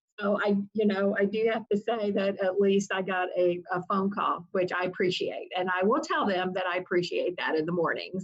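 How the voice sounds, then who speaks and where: A woman with a Southern US accent speaks at a moderate pace and medium pitch. Her intonation is fairly even, and she takes hardly any pauses. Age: 60s. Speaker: family rights attorney. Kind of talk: interview.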